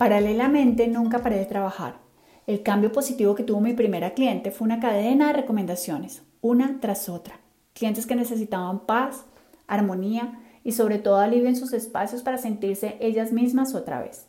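A fairly high-pitched, somewhat breathy woman's voice, dark and mellow in tone, with fairly even intonation at a moderate pace. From Colombia, Cali. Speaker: podcast host, professional organizer. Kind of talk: scripted narration.

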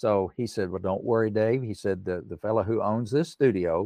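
At a moderate pace, a man with fairly low pitch speaks in a dry, close sound with no echo and a quiet background. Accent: Appalachian. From East Tennessee (Erwin). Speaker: songwriter and pianist. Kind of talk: interview.

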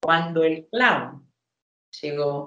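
This is a woman speaking. Her pitch is fairly low. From Argentina, rural Buenos Aires province. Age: 50s. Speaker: clown. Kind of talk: interview testimony.

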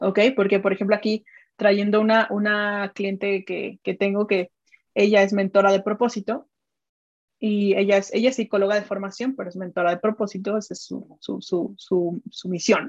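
A woman with a Mexican accent, monotone and flat, in a dry, close sound with no echo and a quiet background. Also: medium pitch for a woman, moderate pace. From Mexico. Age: 30s. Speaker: digital strategist and business mentor. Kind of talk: interview conversation.

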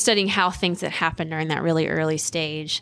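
A fairly low-pitched woman's voice, a normal speaking voice, in a very clean recording with a silent background. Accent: American. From coastal North Carolina, US South. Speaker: professor, bee biologist. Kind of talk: interview.

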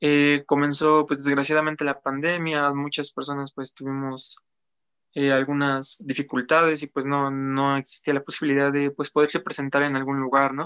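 Fairly high-pitched, a man speaks in a monotone with flat intonation. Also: moderate pace. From Apizaco, Tlaxcala, Mexico. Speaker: musician. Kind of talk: interview. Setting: live-streamed interview.

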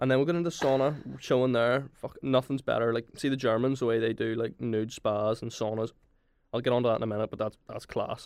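A man speaks with a Belfast accent. His intonation stays fairly even. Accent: Belfast Northern Irish. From Northern Ireland, Belfast. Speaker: university student. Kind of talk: casual chat. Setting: studio.

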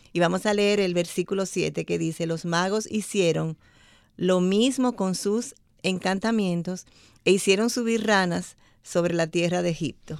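A woman talks at a fairly slow pace in an unremarkable speaking voice, medium in pitch with ordinary pitch variation. The recording is very clean, with a silent background. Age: 60s. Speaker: church women's ministry member. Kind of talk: radio Bible study discussion. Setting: studio.

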